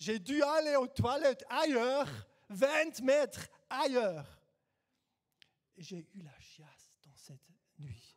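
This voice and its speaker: A man with a non-native accent speaks at an extremely high pitch and a very slow pace, with long, frequent pauses. His intonation is lively and his loudness swings widely. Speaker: guest preacher. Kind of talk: sermon. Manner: halting.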